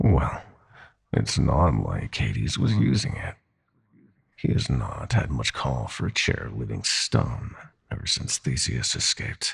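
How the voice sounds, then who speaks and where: A man uses a put-on character voice, speaking at a fairly slow pace. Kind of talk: ASMR roleplay villain. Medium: audio drama. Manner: silky, theatrical, condescending.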